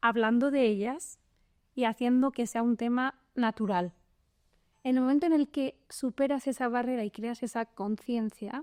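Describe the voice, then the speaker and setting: Dry and close with no echo, a woman's high voice moves at a fairly slow pace with fairly even intonation. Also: very clean recording, silent background. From Spain. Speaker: venture capital lawyer. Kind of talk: podcast interview.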